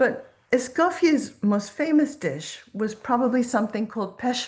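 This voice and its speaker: This woman's voice has a somewhat breathy quality. She talks at a fairly slow pace. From Quebec. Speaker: professor and food historian. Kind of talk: lecture.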